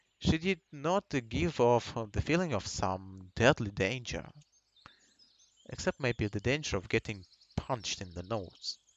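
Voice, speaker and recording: A man with a Russian accent talks at a medium pitch and a fairly slow pace. His pitch swings very widely, and he leaves long, frequent pauses. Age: 20s. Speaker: gaming streamer. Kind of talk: reading aloud. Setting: live stream. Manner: halting.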